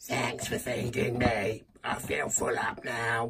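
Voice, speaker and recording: This is a put-on character voice pitched low to middle. It moves at a fairly slow pace. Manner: cheerful, playful.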